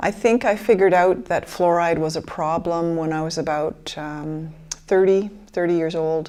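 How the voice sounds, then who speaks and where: Speaking with an American accent, a woman with a plain, everyday voice talks at a moderate pace with hardly any pauses, her pitch fairly low and her intonation fairly even. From Michigan, US (Grand Rapids). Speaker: interviewee, fluoride-affected person. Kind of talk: documentary interview, personal testimony.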